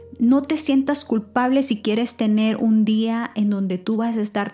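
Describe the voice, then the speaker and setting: A woman talks at a fairly slow pace with hardly any pauses, her fairly high voice warm in tone, with very even loudness and fairly even intonation. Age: 40s. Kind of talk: devotional talk. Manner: warm, intimate; hesitant with fillers.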